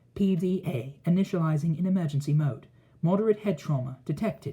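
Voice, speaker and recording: A man puts on a character voice at a high pitch. He talks at a fairly quick pace. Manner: mechanical, emotionless.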